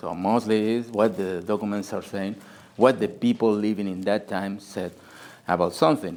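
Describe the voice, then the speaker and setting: A man with a Spanish accent, fairly low in pitch, at a moderate pace with ordinary pitch variation. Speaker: historian and author. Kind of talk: book presentation talk. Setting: group meeting with audience. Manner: halting, searching for words.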